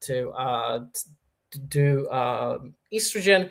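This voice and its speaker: Recorded very cleanly against a silent background, a man speaks in a fairly high, somewhat breathy voice. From Poland. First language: Polish. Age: 30s. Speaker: YouTuber. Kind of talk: livestream Q&A. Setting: livestream. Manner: halting, many fillers.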